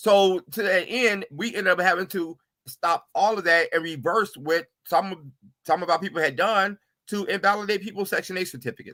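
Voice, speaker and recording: A man projects his voice at a high pitch with a bright, sharp tone. He keeps a moderate pace and ordinary pitch variation, and the sound is dry and close with no echo. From US South, Atlanta. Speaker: attorney. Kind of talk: interview.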